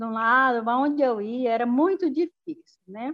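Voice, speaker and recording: A woman speaks with a high-pitched voice. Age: 60s. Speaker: rural producer and direct sales distributor. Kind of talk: testimony. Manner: casual.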